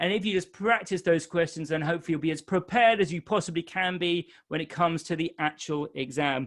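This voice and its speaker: Spoken very fast with hardly any pauses, this voice has a non-native accent and ordinary pitch variation over a quiet background. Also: man, high pitch for a man. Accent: non-Irish accent he says listeners may notice. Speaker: exam tutor. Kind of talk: webinar Q&A. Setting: live webinar. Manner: casual, with fillers.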